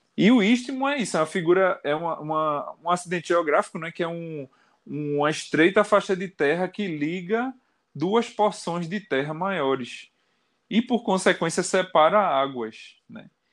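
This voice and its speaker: A man at a high pitch with lively intonation and a fairly slow pace, in a very clean recording with a silent background. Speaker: rock singer and guitarist. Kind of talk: casual interview chat.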